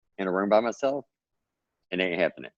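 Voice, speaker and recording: The speaker talks very fast in an American accent, with ordinary pitch variation. The sound is dry and close, with no echo. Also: man. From Texas. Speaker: author and self-publisher. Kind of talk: podcast interview.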